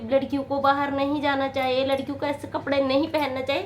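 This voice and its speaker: A woman with a high pitch, with noticeable background noise behind her. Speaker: motivational video maker. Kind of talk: motivational talk to camera. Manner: halting.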